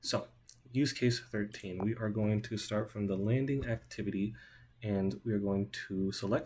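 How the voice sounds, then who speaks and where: A man's fairly low, somewhat breathy voice with a dark, mellow tone, fairly even intonation and a moderate pace. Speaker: student. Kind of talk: software demo.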